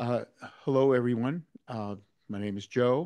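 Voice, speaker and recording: Over a quiet background, a man speaks in a dark, mellow tone with fairly even intonation. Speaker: club lecture presenter. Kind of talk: lecture. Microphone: video call.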